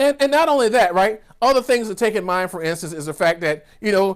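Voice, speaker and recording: A man with an American accent talks at a fairly quick pace in an animated tone, his pitch moving in an ordinary way. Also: very clean recording, silent background. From US South, rural Georgia. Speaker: business coach. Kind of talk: virtual keynote speech. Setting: virtual summit recording.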